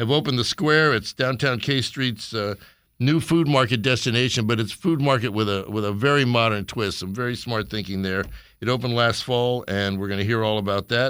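A man with a plain, everyday voice speaks at a fairly quick pace against a quiet background. His medium pitch shows ordinary variation. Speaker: radio host. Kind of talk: casual radio show chat.

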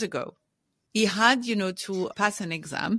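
A French accent at a moderate pace. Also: woman. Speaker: executive leadership coach. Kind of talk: interview.

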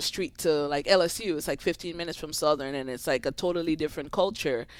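The recording is very clean, with a silent background. A woman speaks with a very deep, low pitch and lively intonation. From Grenada, Caribbean. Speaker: tennis coach. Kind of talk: casual interview.

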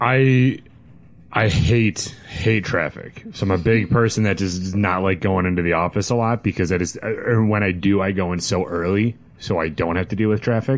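Noticeable background noise sits behind a man whose voice is fairly low in pitch. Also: moderate pace, very even loudness. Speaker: podcast guest, whiskey podcaster. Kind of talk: casual chat. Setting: studio. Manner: monotone.

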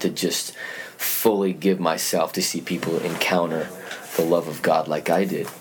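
The intonation is monotone and flat. Noticeable background noise and audible room echo fill the recording. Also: man. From Utah, US. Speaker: youth pastor. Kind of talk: casual interview. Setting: church.

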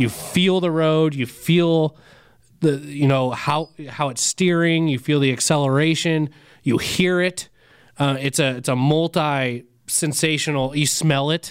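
A man with a plain, everyday voice and an American accent, fairly high in pitch, at a fairly slow pace with fairly even intonation, in a very clean recording against a silent background. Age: 30s. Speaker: diesel podcast co-host. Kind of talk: casual chat.

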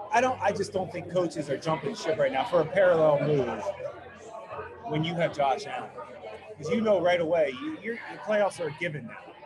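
Amid crowd noise and audible room echo, a man with a high pitch speaks fairly quickly with lively intonation. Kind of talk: casual chat. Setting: brewery taproom.

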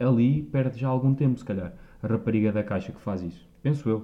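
An ordinary speaking voice from a man, fairly quick in pace, medium in pitch, with ordinary pitch variation. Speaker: podcast host. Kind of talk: casual chat.

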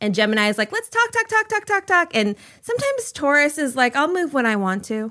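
A woman with an American accent talks at a fairly quick pace in a raised, projected voice, her high pitch swinging very widely and her tone bright and sharp. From Minnesota. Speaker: guest. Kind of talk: casual chat.

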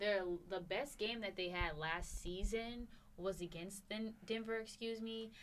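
A woman with a normal speaking voice, medium in pitch, her intonation fairly even. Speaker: podcast host. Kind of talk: casual podcast chat.

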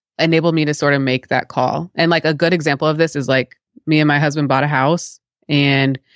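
A woman with a very deep, low pitch talks at a very fast pace. The recording is very clean with a silent background, the sound dry and close with no echo. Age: 30s. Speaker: product designer. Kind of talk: interview.

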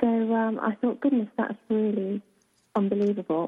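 In a British accent, a woman speaks at a fairly high pitch. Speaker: author, radio guest. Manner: slow, unhurried speech.

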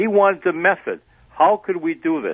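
Lively intonation from a man with an American accent. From Wisconsin, US (Sheboygan). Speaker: former secret agent and businessman. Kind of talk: interview storytelling. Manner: halting.

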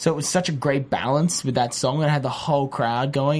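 A man with an Australian accent, fairly high pitch and a fairly quick pace. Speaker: TV host. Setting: studio.

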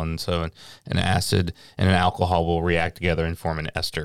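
A man with a Tennessee accent speaks in a very deep, low pitch and a monotone, flat intonation on a very clean recording with a silent background. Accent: US Southern (Tennessee). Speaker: master distiller. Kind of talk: casual interview.

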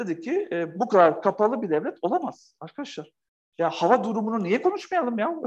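Animated, high male voice with very wide pitch swings at a fairly quick pace. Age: 40s. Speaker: author and company founder. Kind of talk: interview conversation.

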